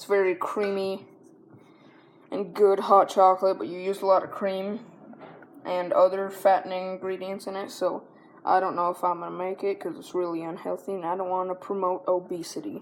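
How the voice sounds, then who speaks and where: A woman's medium-pitched voice, monotone and flat, at a moderate pace with big swings in loudness. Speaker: home cooking video host. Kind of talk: cooking tutorial. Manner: halting, stumbling over words; casual, conversational.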